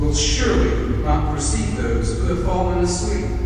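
At a very slow pace, the voice comes through with strong room echo and noticeable background noise. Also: man. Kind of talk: scripture reading. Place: church.

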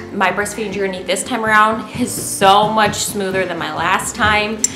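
A woman speaks at a moderate pace in a monotone, flat intonation, with faint music in the background. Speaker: stay-at-home mom vlogger. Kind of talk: casual vlog chat. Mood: relaxed and cheerful. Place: home room. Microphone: camera far.

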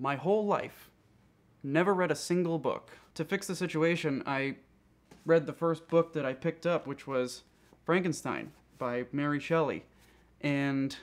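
With fairly even intonation, a man speaks at a moderate pace and takes long, frequent pauses. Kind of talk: interview answer. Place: home room.

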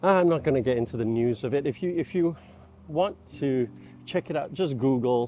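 A man's voice, dry with no echo, over music in the background. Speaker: vlogger. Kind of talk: casual vlog chat. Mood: reflective. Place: street. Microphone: lapel.

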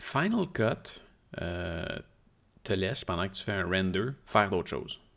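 Over a quiet background, a man with a Quebec accent talks at a fairly slow pace in a very deep, low pitch, with ordinary pitch variation and long, frequent pauses. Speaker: tech podcast co-host. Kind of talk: casual chat. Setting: live stream. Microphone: studio mic.

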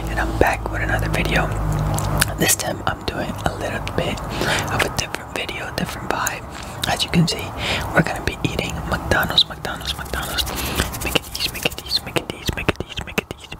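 A man whispers at a fairly quick pace. He leaves long, frequent pauses. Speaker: ASMR mukbang creator. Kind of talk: casual talk to camera. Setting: home recording with a staticky microphone. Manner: soft-spoken, whispered. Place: home room. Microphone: studio mic.

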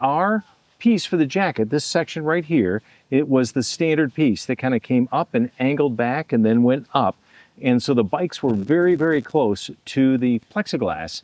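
At a moderate pace, a man speaks in a dry sound with no echo and a quiet background. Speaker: campground host. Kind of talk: casual vlog tutorial. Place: open country. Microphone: phone near.

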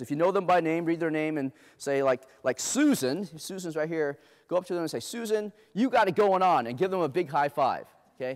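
A man with an American accent speaks at a high pitch in an animated tone. The background is quiet. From Los Angeles, US (inner city: Compton, Long Beach); Los Angeles. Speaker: diversity speaker; speaker. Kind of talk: keynote talk to a live audience. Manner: animated, interactive. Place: stage.

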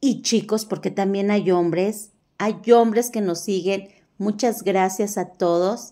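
Over a quiet background, a woman speaks with a dark, mellow tone. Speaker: shopping vlogger. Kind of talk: casual vlog chat. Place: shop. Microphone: phone near.

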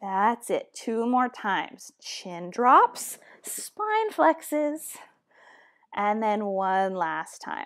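Speaking at a very slow pace in a calm tone, a woman shows big swings in loudness against a quiet background. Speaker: fitness instructor. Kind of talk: guided Pilates class instruction. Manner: calm, encouraging, clear cueing; steady, measured pace. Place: home room.

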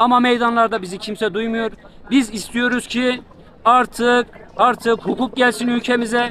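A man speaks at a fairly slow pace in an extremely high pitch, with monotone, flat intonation. The sound is dry with no echo, over light background noise. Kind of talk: street interview answer. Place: street. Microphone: handheld.

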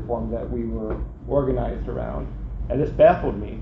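Male voice with noticeable background noise. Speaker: presenter. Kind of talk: lecture. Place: hall.

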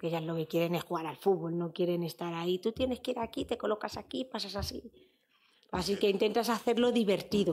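Speaking at a fairly quick pace, a woman uses ordinary pitch variation. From Spain, Fuenlabrada (Madrid); Madrid. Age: 30s. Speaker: footballer; interview guest. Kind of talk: interview. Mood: relaxed, reflective, sometimes emotional. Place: studio. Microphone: studio mic.

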